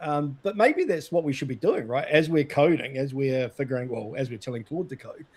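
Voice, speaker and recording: Here a man with a New Zealand accent talks at a fairly high pitch. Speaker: data consultant and show host. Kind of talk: casual chat.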